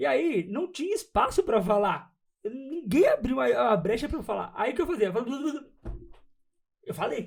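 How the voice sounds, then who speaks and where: A man speaks with very wide pitch swings. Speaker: psychologist. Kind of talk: casual chat. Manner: fast; stutter.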